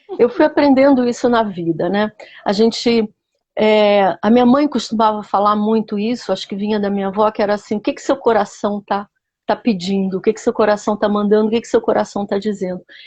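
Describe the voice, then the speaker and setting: Fairly quick, somewhat breathy female speech, fairly high in pitch with ordinary pitch variation. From Rio de Janeiro, Brazil. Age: 60s. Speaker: biographical counselor. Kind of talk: interview.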